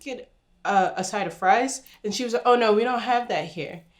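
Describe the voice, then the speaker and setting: In an American accent, a woman speaks with an animated tone. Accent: New Jersey accent, noticed by Southerners. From New Jersey. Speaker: YouTuber. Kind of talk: casual chat.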